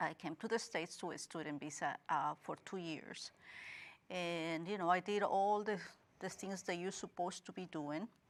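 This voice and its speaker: Speaking with a slight Guatemalan accent at a moderate pace, the voice keeps fairly even intonation in a very clean recording with a silent background. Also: woman, fairly low pitch for a woman. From Guatemala, Guatemala City. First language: Spanish. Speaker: interview guest. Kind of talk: interview.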